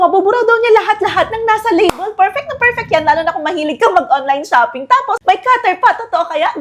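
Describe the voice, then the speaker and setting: Over noticeable background noise, a woman talks at a fairly quick pace in an animated tone, her extremely high pitch swinging very widely. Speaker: product reviewer. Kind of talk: product review vlog. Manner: fast.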